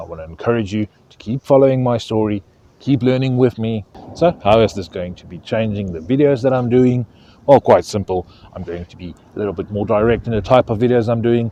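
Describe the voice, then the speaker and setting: A man's medium-pitched voice at a fairly quick pace, with ordinary pitch variation, big swings in loudness, and a dry, close sound with no echo. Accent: South African. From South Africa. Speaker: fishing YouTuber. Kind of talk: casual vlog talk to camera. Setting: outdoors by a lake, stormy weather coming.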